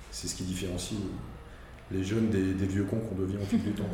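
Over noticeable background noise and audible room echo, a man with a fairly low voice talks fairly quickly in a monotone, flat intonation. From Alsace, France. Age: 50s. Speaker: media and advertising professional. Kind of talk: interview. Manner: halting, with repetitions.

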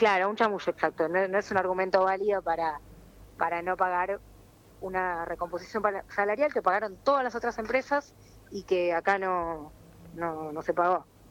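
Speaking at a moderate pace, a woman with a plain, everyday voice keeps a medium pitch and ordinary pitch variation. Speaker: press worker and union spokesperson. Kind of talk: phone interview.

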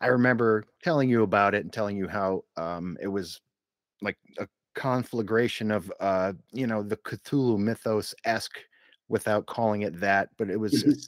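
A normal speaking voice from a man, fairly low in pitch, with ordinary pitch variation, a moderate pace and a dry, close sound with no echo. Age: 40s. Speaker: podcast host. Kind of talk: casual chat. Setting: studio.

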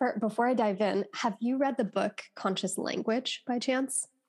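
A woman's plain, everyday voice, fairly high in pitch, with fairly even intonation at a fairly slow pace. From United States. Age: 20s. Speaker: life coach. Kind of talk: podcast interview. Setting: video call.

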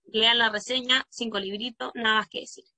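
A woman speaks with a Chilean accent at a moderate pace. Her fairly high voice has a bright, sharp tone, the sound dry and close with no echo. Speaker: podcast host and primary school teacher. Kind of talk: casual chat.

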